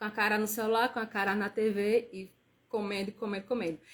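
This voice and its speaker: The speaker sounds somewhat breathy and keeps a moderate pace. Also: woman. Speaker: nutritionist. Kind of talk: live stream talk. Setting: live stream.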